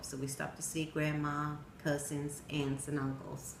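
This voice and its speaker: A woman's very deep, low voice at a moderate pace, with audible room echo. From Sweden. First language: Swedish. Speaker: storyteller. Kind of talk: personal narrative speech.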